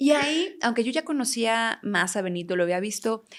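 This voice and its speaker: A woman speaks in a fairly high pitch with very wide pitch swings at a moderate pace, on a very clean recording with a silent background. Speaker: talk show host. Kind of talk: interview.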